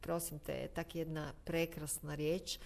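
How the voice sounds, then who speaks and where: With vocal fry, a woman speaks at fairly low pitch and a fairly slow pace. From Zagreb, Croatia. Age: 50s. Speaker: actress and singer. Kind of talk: casual interview.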